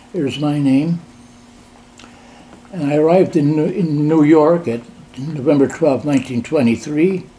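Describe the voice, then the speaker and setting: With an American accent, a man speaks at a moderate pace in a fairly high voice with ordinary pitch variation, taking long, frequent pauses amid noticeable background noise. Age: 80s+. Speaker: amateur genealogist. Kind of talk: casual conversation with family.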